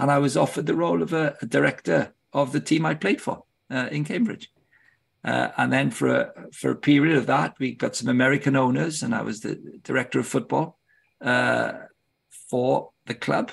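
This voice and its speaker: This man talks at a moderate pace. He has a British accent. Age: 60s. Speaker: football club director and ministry leader. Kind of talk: podcast interview.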